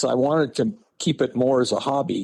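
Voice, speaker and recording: His voice sits at a fairly high pitch, and it's a man talking. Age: 60s. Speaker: lure maker and tackle business owner. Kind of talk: casual interview chat. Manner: halting, many fillers.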